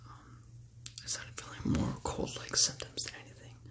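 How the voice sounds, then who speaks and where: A man whispers in an American accent. Background noise is noticeable. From California, USA. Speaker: ASMR creator. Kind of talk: ASMR whispered talk to camera. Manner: whispered, calming.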